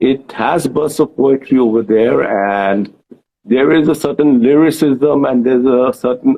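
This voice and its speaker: A man with a Bengali accent talks at a fairly slow pace and medium pitch, with ordinary pitch variation. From India, Bengali. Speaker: author and journalist. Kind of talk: interview. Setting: Instagram live video chat.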